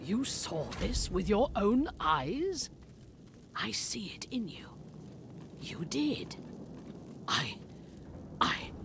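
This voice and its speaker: A woman does a put-on character voice at a medium pitch, very slowly and with long, frequent pauses. Her pitch swings very widely and her loudness varies greatly, over clear background noise. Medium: video game. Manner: earnest, righteous.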